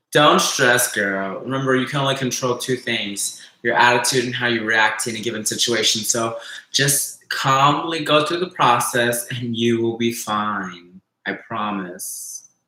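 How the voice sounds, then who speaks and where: Amid audible room echo, a man speaks at a fairly slow pace and a medium pitch. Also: ordinary pitch variation. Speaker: live streamer. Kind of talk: casual live stream chat. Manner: low energy, unenthusiastic.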